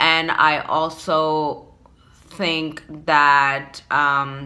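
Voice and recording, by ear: This woman talks at a very slow pace in an American accent, her low-pitched voice bright and sharp in tone with little pitch movement.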